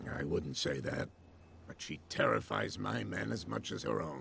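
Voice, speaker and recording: In a put-on character voice, a man growls at a very deep, low pitch, raspy, with ordinary pitch variation, a moderate pace and clear background noise. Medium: video game. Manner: genial but guarded.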